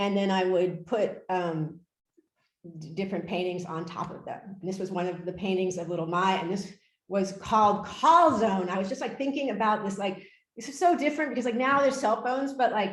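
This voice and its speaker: A woman's somewhat breathy, medium-pitched voice with lively intonation at a fairly quick pace, plus audible room echo. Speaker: artist and art professor. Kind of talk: lecture. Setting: video call. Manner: halting, many fillers.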